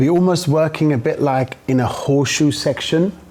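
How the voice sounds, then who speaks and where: With ordinary pitch variation and a moderate pace, a man talks while noticeable background noise carries on. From Germany. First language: German. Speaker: hairdresser. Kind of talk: live demonstration; casual interview.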